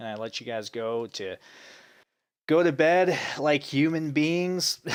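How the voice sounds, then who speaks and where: A man with a fairly high pitch speaks very slowly, his intonation lively and his loudness swinging widely. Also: very clean recording, silent background. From United States, Russian immigrant family. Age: 30s. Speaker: gaming streamer. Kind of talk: casual chat. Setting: live stream from a different room. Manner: hesitant, many fillers.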